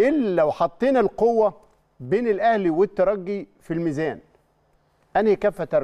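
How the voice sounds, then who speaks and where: Lively in intonation, a man's high-pitched voice has a dark, mellow tone. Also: moderate pace, quiet background. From Egypt. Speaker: sports TV show co-host. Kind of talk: studio sports talk show. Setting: TV studio. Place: studio. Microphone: lapel.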